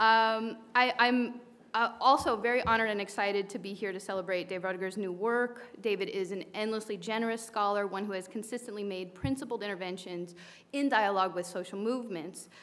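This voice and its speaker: A woman's voice at a fairly quick pace, with fairly even intonation. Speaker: professor of American studies; panelist. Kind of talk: panel discussion. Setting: bookstore event with live audience. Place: shop. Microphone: podium.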